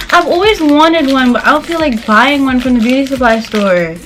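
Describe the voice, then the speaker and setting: A woman talks at a fairly quick pace in an animated tone, her pitch high. Music plays in the background. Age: 20s. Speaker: beauty vlogger. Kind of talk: casual unboxing review. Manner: fast.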